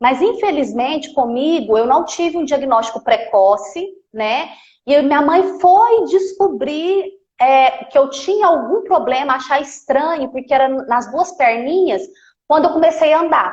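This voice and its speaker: A woman speaks with a Minas Gerais accent. Her pitch is high and her pace fairly slow. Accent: Minas Gerais (mineiro). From Minas Gerais, Brazil (Campo Belo). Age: 30s. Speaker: physiotherapist. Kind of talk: live stream interview.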